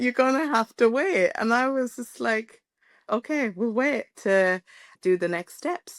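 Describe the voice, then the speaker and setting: A woman with an Irish accent speaks in a high voice with lively intonation, recorded very cleanly against a silent background. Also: fairly slow pace, dry, close sound with no echo. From Ireland. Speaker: podcast guest sharing pregnancy loss story. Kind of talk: personal testimony interview.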